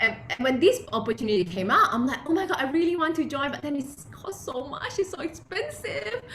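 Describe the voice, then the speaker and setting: A woman with a non-native accent speaks at a moderate pace in an animated tone. Her pitch swings very widely over noticeable background noise. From Malaysia. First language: not English. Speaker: entrepreneur and blogger. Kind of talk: interview.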